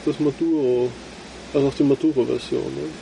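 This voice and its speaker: A man over noticeable background noise. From Austria. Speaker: cigar podcast co-host. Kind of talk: casual chat.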